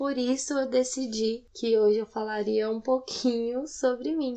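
Fairly even intonation in a Goiás accent. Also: woman. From Goiânia, Brazil. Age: 20s. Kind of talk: personal testimony. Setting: home recording late at night.

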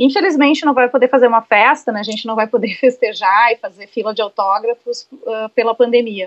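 A woman's high voice at a fairly quick pace, dry and close with no echo. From Rio Grande do Sul, Brazil (Santo Ângelo). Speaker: advertising professional and poet. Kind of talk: interview.

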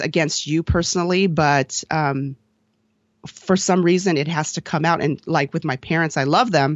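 A woman's fairly low-pitched voice, an unremarkable speaking voice with fairly even intonation. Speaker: dancer and podcaster. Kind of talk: casual interview chat.

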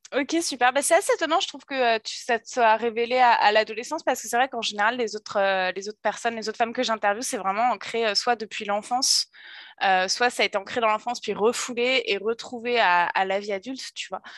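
Against a quiet background, a woman with a plain, everyday voice speaks at a fairly quick pace, her fairly high pitch showing ordinary variation. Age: 30s. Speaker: podcast host. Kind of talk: casual interview chat.

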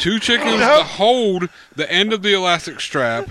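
A man's raised, projected voice at a fairly slow pace with lively intonation, against noticeable background noise. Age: 30s. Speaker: comedy podcast co-host. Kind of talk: casual chat.

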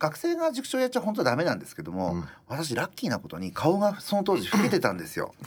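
A man talks very fast with big swings in loudness, and noticeable background noise is present. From Japan, rural Iwate. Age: 50s. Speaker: restaurant owner. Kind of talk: interview.

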